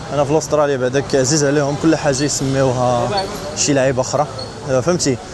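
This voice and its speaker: Over noticeable background noise, a man with a fairly high voice talks at a fairly quick pace with fairly even intonation. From Morocco. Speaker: travel vlogger. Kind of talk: casual talk to camera.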